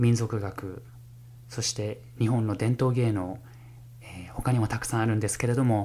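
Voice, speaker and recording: A man's fairly low, dark and mellow voice, somewhat breathy, at a fairly slow pace with monotone, flat intonation. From Japan, Fukushima. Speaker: music professor and jazz pianist. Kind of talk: solo podcast monologue. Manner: formal.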